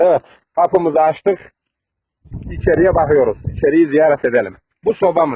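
A man speaks at a fairly high pitch with ordinary pitch variation. His pace is moderate. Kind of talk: comedic village tour to camera.

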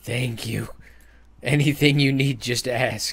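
A man's put-on character voice, fairly slow in pace and medium in pitch. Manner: creepy.

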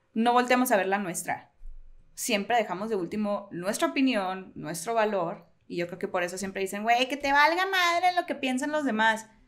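Pitch swings very widely throughout. The background is quiet. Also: woman, fairly high pitch for a woman, moderate pace. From Sonora, Mexico (Hermosillo); Sonora, Mexico. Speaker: writer; podcast co-host. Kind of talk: casual chat. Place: home room. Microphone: studio mic.

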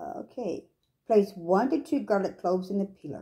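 A somewhat breathy woman with a dark, mellow tone at a fairly slow pace against a quiet background. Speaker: home cooking demonstrator. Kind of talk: tutorial. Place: kitchen. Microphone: phone near.

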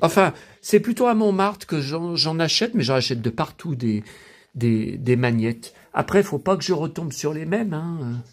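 A man speaks at a moderate pace with a fairly high pitch. His pitch swings very widely. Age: 50s. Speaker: YouTuber, collector; YouTuber. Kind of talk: casual vlog monologue. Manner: halting, repetitive stammering; animated, emotional. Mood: nostalgic, enthusiastic. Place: home room. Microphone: phone near.

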